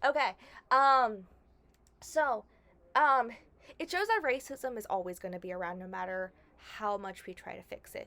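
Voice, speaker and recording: Bright and sharp in tone, a woman speaks at a fairly high pitch and a moderate pace with lively intonation. Her loudness swings widely, and she pauses long and often. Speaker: YouTuber, movie reviewer. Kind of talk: casual vlog discussion. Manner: hesitant, many fillers.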